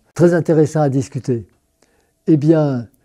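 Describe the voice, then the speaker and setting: A man's fairly high voice carries a dark, mellow tone, with ordinary pitch variation at a fairly slow pace. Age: 80s+. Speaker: worker priest. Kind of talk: testimony interview. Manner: halting, with hesitations and repetitions.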